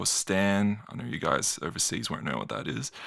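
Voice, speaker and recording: With an Australian accent, a man speaks at a fairly low pitch with ordinary pitch variation on a very clean recording with a silent background. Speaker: YouTuber. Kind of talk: commentary video. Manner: animated.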